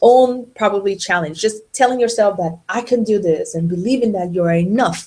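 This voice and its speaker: A woman speaks in a plain, everyday voice, her pitch varying in an ordinary way and her pace moderate. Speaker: lawyer running a webinar. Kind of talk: webinar presentation. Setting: online webinar.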